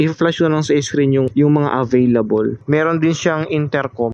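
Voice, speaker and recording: His pitch is fairly high for a man. He talks at a moderate pace. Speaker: motovlogger and delivery rider. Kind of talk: casual vlog commentary while riding. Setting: outdoors on a motorcycle. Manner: loud, near shouting.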